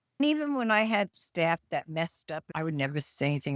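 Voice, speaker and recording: In a very clean recording with a silent background and a dry, close sound with no echo, a woman with a New York accent speaks at a fairly low pitch. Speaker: retired nurse and podcast co-host. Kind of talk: casual chat. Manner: loud; can sound harsh.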